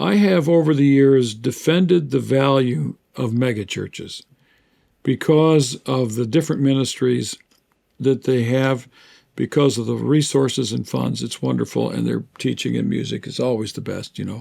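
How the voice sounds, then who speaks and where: At a moderate pace, the man's speech comes through a very clean recording with total silence behind it. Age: 60s. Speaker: theologian and author. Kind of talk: interview conversation.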